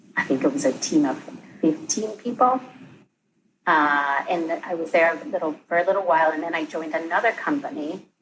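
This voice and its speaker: Speaking at a fairly quick pace, a woman uses a fairly low pitch with very wide pitch swings. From Spain (Barcelona). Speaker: real estate team leader. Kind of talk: interview.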